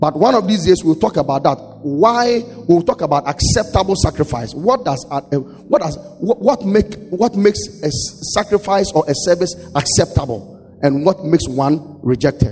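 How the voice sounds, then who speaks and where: A man speaks at a moderate pace in a high voice, his tone animated. His pitch swings very widely over noticeable background noise. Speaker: pastor. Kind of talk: sermon. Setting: church.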